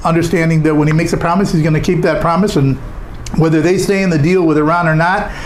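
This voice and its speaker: Amid audible room echo and noticeable background noise, a man talks with a fairly high pitch and monotone, flat intonation. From Southern California. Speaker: podcast host. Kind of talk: news commentary. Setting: studio. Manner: fast.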